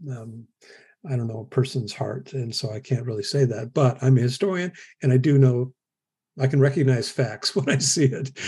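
Against a quiet background, a man with an American accent speaks at a moderate pace with a medium pitch and ordinary pitch variation. His tone is dark, mellow and somewhat breathy, with big swings in loudness. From US Midwest. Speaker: historian. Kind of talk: interview.

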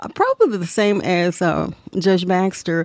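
Speaking with a Tennessee accent, a woman uses a fairly low pitch and fairly even intonation at a fairly slow pace, on a very clean recording with a silent background. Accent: Southern US (Tennessee). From US South, Tennessee. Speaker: local historian, co-host. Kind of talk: interview. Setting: studio.

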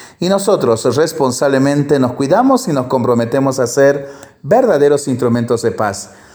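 At a moderate pace, a man speaks with a fairly high pitch and ordinary pitch variation against noticeable background noise. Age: 40s. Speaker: priest. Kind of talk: reading aloud; blessing.

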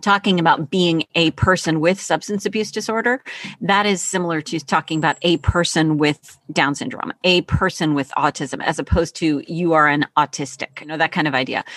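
In an ordinary speaking voice, a woman talks at a fairly quick pace with hardly any pauses, using a fairly low pitch and ordinary pitch variation. The recording is dry and close with no echo, over a quiet background. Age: 50s. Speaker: teacher and author. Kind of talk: interview.

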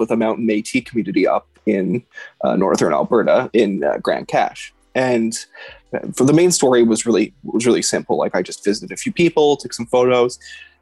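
Over music in the background, the speaker talks at a moderate pace with a Canadian accent in a dry, close sound with no echo. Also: man. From Canada, Edmonton. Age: 30s. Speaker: photojournalist. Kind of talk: casual chat.

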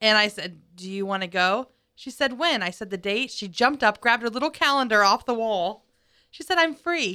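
Using an ordinary speaking voice, a woman talks at a moderate pace with a fairly high pitch and lively intonation in a very clean recording with a silent background. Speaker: missions director. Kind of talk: faith podcast panel discussion. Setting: studio.

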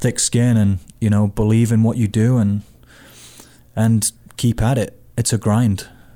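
In a British accent, a dark, mellow voice delivers flat, monotone intonation on a very clean recording with a silent background. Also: man. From Britain. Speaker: soccer coach. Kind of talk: casual sports chat.

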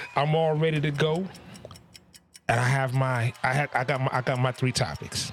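A man talks at a moderate pace in a medium-pitched voice. His loudness stays very even, and his pauses are long and frequent. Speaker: podcast host. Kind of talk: casual interview chat. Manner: animated, upbeat.

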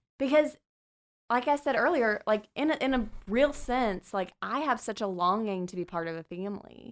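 In a normal speaking voice, a woman with an American accent talks at a fairly high pitch with lively intonation. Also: moderate pace, very clean recording, silent background. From US military bases, various. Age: 30s. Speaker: church group leader. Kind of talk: casual chat.

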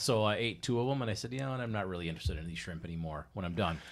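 Very fast and lively, a man with an Upper Midwest accent talks in a very clean recording with a silent background. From Wisconsin. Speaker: boater. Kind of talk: casual chat.

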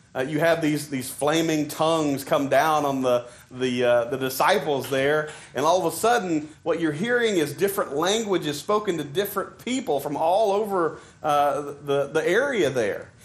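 Here a man talks at a moderate pace with lively intonation. His pitch sits fairly high. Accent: Southern US. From Arkansas. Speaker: preacher. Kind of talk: sermon. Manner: halting, conversational, with frequent fillers.

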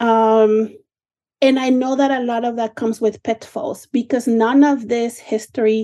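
With a Spanish accent, a woman speaks fairly slowly at a fairly high pitch, her dark, mellow voice held to a monotone, flat intonation. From Mexico City. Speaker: nonprofit operator, guest co-host. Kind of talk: radio panel discussion.

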